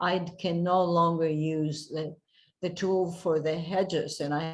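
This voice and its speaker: A woman's fairly low voice with fairly even intonation, music in the background. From Argentina. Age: 80s+. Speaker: gardening presenter. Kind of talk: online presentation. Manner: halting.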